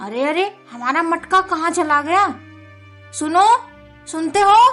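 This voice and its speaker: Using a put-on character voice at an extremely high pitch, a woman talks at a fairly slow pace with lively intonation over faint background music. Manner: shouting.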